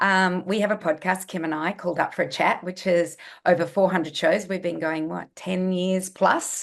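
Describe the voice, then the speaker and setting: A woman with an Australian accent, medium in pitch and moderate in pace, with monotone, flat intonation. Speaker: nutritionist. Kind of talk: interview.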